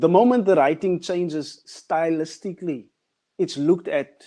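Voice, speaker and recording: Fairly high-pitched man with a South African accent, a dark, mellow tone, ordinary pitch variation and a fairly slow pace. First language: Afrikaans. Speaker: artist. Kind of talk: panel discussion.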